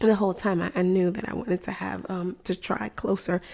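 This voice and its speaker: Soft-spoken, a woman talks at a fairly quick pace in a dark, mellow tone. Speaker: physician and lactation content creator. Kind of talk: livestream product demo. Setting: live online stream. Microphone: good microphone, close.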